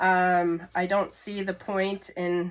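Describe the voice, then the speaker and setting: A woman with a medium-pitched voice talks in a monotone, flat intonation on a very clean recording with a silent background. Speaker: home cooking channel host. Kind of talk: cooking tutorial. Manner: casual with many fillers.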